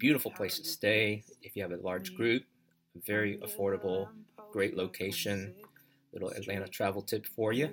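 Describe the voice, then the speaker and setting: A man with a plain, everyday voice speaks at a fairly low pitch and a moderate pace, with ordinary pitch variation. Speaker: podcast host and consultant. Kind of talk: solo personal storytelling monologue. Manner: casual, unscripted with filler words.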